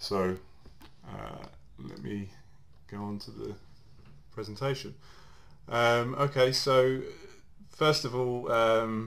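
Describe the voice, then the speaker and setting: A man with an English accent at a medium pitch, very slow pace with long, frequent pauses, fairly even intonation, big swings in loudness, and audible room echo. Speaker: mobile security engineer. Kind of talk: technical presentation. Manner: halting, many fillers.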